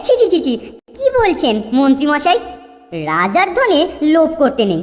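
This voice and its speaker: In a cartoonish character voice, the high pitch swings very widely at a moderate pace. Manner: servile, deferential.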